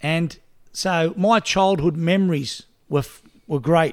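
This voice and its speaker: Recorded very cleanly over a silent background, the voice carries an Australian accent and fairly even intonation. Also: man. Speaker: podcast host. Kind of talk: casual interview chat.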